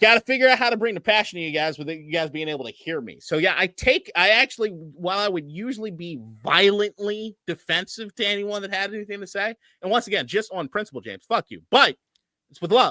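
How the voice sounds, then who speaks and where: Very fast and raised, a man's projected, high-pitched voice has a bright, sharp tone and big swings in loudness, recorded with a dry, close sound and no echo. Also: ordinary pitch variation. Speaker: sports podcast co-host. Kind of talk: casual chat. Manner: animated, yells at times.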